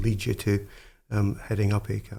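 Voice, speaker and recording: In a Scottish accent, a man with a fairly low pitch speaks fairly slowly in a dark, mellow, somewhat breathy tone, recorded very cleanly against a silent background. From Scotland, Dumfriesshire. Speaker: podcast host. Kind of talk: interview.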